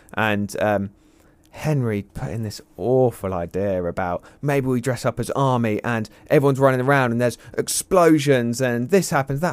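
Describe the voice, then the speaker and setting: A man talks with an English accent. His pitch is medium. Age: young. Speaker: carp angler and fishing media director. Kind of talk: casual chat. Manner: animated.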